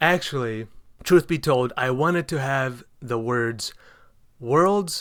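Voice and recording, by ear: The speaker is reading aloud in a natural voice.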